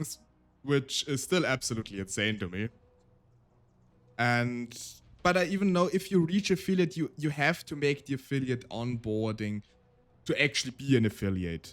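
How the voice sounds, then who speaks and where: A man's medium-pitched voice with very wide pitch swings and long, frequent pauses. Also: moderate pace. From Austria. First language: German. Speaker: vtuber streamer and storyteller. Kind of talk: casual live-stream chat. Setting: live stream.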